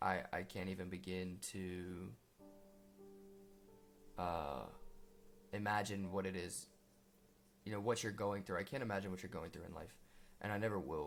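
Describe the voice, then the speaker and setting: With an American accent, a man speaks at a moderate pace in a very deep, low pitch, keeping his intonation fairly even and leaving long, frequent pauses while music plays in the background. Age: young. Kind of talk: personal testimony talk to camera. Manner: hesitant, earnest.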